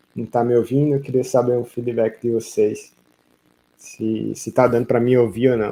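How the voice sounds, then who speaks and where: A soft-spoken man talks with monotone, flat intonation. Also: medium pitch for a man, moderate pace. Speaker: vaquejada coach. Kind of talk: live stream Q&A coaching. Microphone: audio too quiet for viewers.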